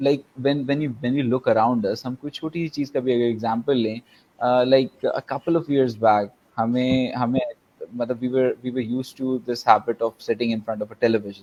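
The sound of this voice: A man's very fast delivery with few pauses, medium pitch, fairly even intonation and a slightly mellow tone.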